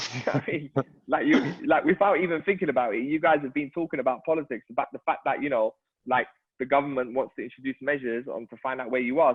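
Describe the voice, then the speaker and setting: Talking very fast, a man with a fairly high voice uses ordinary pitch variation. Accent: London. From London, Hackney. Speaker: local councillor and charity chief executive. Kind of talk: virtual event discussion.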